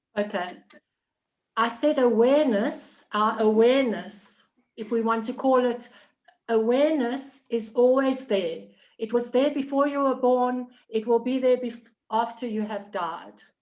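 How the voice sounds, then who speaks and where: A woman speaks with a South African accent in a high pitch. Her pace is fairly slow and her pitch variation ordinary. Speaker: participant. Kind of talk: group discussion. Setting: video call.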